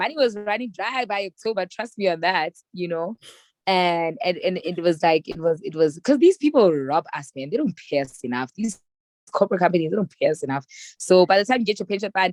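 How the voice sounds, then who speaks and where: A woman in a South African accent, medium-pitched and animated, at a fairly quick pace with lively intonation. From South Africa, Soweto. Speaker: public relations strategist. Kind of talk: casual chat. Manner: loud.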